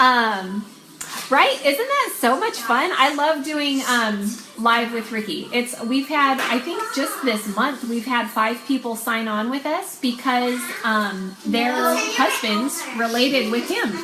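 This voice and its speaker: A woman speaks at a high pitch and a very slow pace. The room echo is audible and the background noise is noticeable. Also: ordinary pitch variation. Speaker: online clothing seller and sales coach. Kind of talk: casual training talk on a live video.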